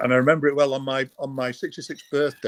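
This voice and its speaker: Fairly quick speech with a Manchester accent, dry and close with no echo. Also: man. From northern England, Stockport near Manchester. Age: 60s. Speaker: retired cancer patient, program client. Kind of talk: personal testimony in interview.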